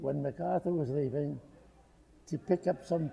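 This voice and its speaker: A man with a fairly high voice. His delivery is somewhat breathy. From Rhode Island. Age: 80s+. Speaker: war veteran. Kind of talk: interview answer.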